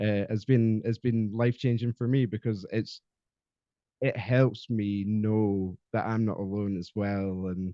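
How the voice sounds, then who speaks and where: With a Scottish accent, a man speaks fairly slowly at a fairly low pitch and with fairly even intonation. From Scotland. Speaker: podcast guest, mental health advocate. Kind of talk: casual interview chat. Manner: halting, many fillers.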